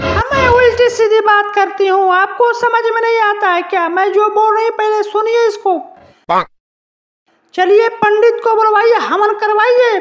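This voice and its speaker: A cartoonish character voice, female-sounding, at an extremely high pitch for a woman and a fairly slow pace. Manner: shrill, insistent, repetitive.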